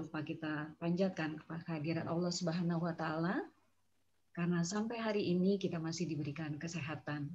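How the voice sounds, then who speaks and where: A woman's somewhat breathy voice, fairly low in pitch, moves at a moderate pace with fairly even intonation. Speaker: meeting moderator. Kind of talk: online meeting moderation. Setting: video call. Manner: formal. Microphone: too quiet.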